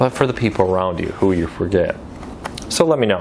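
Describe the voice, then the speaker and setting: Noticeable background noise sits behind this voice. A man speaks with an American accent. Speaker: news commentary host. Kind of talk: casual news commentary. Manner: conversational, some stumbles.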